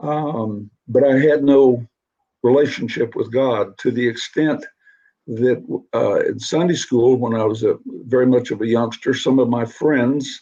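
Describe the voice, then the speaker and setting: A man talks at medium pitch with a dark, mellow tone. His pace is fairly slow and his intonation fairly even. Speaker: Vietnam veteran and author. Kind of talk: interview. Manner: halting.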